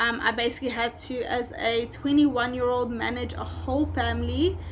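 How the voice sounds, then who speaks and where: In a South African accent, a woman speaks with a high pitch. Her pace is fairly quick and her intonation monotone and flat. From South Africa, Durban. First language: Afrikaans. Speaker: pet groomer and business owner. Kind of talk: vlog storytime. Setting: at home. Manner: casual, many fillers.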